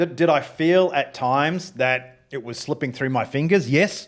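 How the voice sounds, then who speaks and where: With an Australian accent, a man talks at a fairly high pitch using lively intonation. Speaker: former fighter pilot, business founder. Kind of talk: interview. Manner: halting, many restarts.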